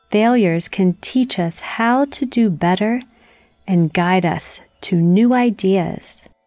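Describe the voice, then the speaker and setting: With music in the background, a woman speaks in a calm, soothing tone at a very slow pace. Her pitch is medium with ordinary variation, and her loudness stays very even. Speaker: meditation guide for children. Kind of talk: guided meditation. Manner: slow, calm, soothing, gently paced with long pauses.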